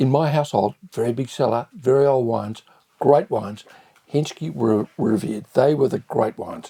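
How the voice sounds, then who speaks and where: With an Australian accent, a man talks at a moderate pace and medium pitch with ordinary pitch variation. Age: 70s. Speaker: restaurateur. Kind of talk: wine tasting review.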